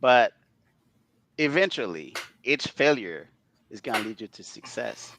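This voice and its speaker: In a very clean recording with a silent background and a dry, close sound with no echo, a man at medium pitch talks at a fairly slow pace with vocal fry, very wide pitch swings, big swings in loudness and long, frequent pauses. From outside North America. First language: not English. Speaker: data management executive. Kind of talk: interview.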